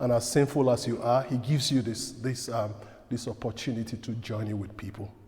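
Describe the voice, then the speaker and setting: This man has an ordinary speaking voice, pitched at a medium level with ordinary pitch variation. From outside Canada, from a direct-speaking culture. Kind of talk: parish talk.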